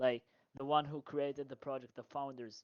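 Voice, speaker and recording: A man speaks with a non-native accent. His fairly high voice has monotone, flat intonation. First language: not English. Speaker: audience member asking a question. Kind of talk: Q&A question. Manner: halting.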